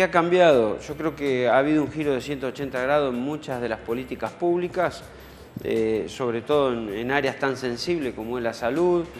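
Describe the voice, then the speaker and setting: With music in the background, a man talks at a moderate pace and ordinary pitch variation. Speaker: guest. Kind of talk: interview answer. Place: studio.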